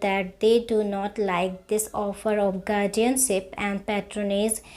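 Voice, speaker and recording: Speech comes very slowly. Its tone is dark and mellow. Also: woman. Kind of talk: shorthand dictation read slowly at a fixed speed, with punctuation spoken aloud. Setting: recorded instructional dictation. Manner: slow, measured, even pacing.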